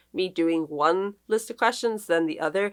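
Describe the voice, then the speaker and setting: Moderate pace in an Australian accent, on a very clean recording with a silent background. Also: woman. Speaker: book vlogger. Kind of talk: casual vlog chat.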